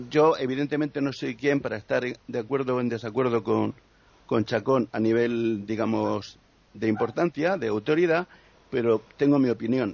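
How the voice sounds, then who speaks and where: In a normal speaking voice, a man goes along at a moderate pace. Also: medium pitch for a man, ordinary pitch variation. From Murcia, Spain. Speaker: musician and poet. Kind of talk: casual chat.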